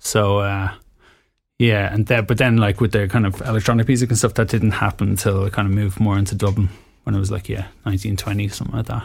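On a very clean recording with a silent background, a man with a fairly low pitch and a somewhat breathy voice talks at a very fast pace in a monotone, flat intonation. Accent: Dublin. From Ireland, small town near Dublin. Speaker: DJ and music producer. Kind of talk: casual interview conversation.

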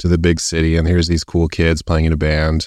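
On a very clean recording with a silent background, a man with a Canadian accent speaks at a fairly quick pace in a very deep, low pitch. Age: 40s. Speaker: graphic novelist. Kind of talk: casual interview chat. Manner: halting, many fillers.

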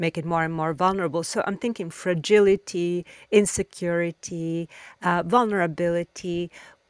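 In a very clean recording with a silent background and a dry, close sound with no echo, a woman speaks with an Italian accent at a moderate pace. Her pitch is fairly low, with ordinary pitch variation. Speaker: podcast host, design curator. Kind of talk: interview.

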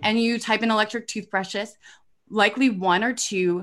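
A woman with an American accent uses a plain, everyday voice at a moderate pace with ordinary pitch variation, over a quiet background. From Indiana, US Midwest. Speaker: startup founder and CEO. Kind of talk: interview on a live stream. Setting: live video stream.

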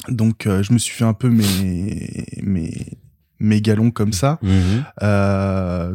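A man's dark, mellow voice at fairly low pitch, very slow pace and fairly even intonation, with a dry, close sound, no echo, and a very clean recording over a silent background. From France, Paris region (Val-de-Marne). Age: 20s. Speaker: funeral services worker and role-player. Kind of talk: casual chat.

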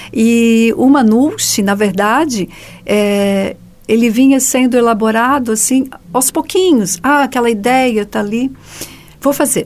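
Fairly slow pace and ordinary pitch variation in an unremarkable speaking voice. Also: woman, fairly high pitch for a woman. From Joinville, southern Brazil. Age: 50s. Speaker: writer. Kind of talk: radio interview.

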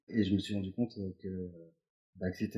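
A man's somewhat breathy voice in a monotone, flat intonation. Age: 30s. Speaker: creative writer, former journalist. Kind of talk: casual interview. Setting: at home. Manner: casual, repetitive stammering.

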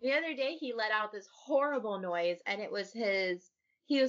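Set against a quiet background, an unforced reading voice carries lively intonation.

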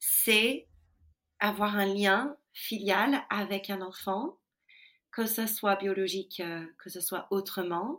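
The recording is very clean, with a silent background. A woman with an English accent speaks very slowly at a medium pitch, her intonation fairly even. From US Midwest. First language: English (speaking French). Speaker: ethical leadership consultant. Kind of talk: interview.

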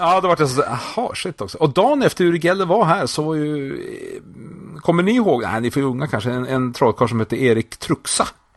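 Fairly quick speech from a man with a fairly high pitch and very wide swings in pitch. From northern Sweden (Skellefteå). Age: 40s. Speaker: magician and entertainer. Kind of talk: casual chat. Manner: animated.

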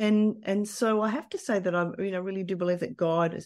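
Here a woman speaks in an Australian accent. The background is quiet. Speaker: business leader. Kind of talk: interview.

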